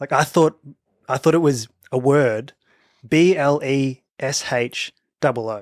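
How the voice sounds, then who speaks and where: A man's fairly high voice with an Australian accent, fairly slow with long, frequent pauses, in a dry, close sound with no echo. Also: ordinary pitch variation. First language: a non-English home language. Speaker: podcast co-host. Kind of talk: casual chat.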